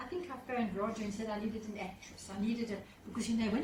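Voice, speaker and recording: Amid noticeable background noise and audible room echo, a woman talks very fast at a fairly high pitch. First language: not English. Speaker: professional speaker. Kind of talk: seminar talk. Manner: animated.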